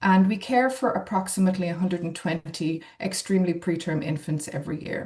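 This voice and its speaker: Someone with an Irish accent speaks at a moderate pace in a somewhat breathy voice with ordinary pitch variation. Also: woman. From Ireland. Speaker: neonatologist. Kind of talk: webinar presentation.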